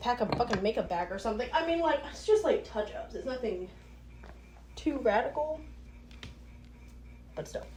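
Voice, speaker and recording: Noticeable background noise accompanies a woman speaking at a moderate pace in an animated tone. Her loudness swings widely, and she takes long, frequent pauses. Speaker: podcaster. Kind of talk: casual monologue.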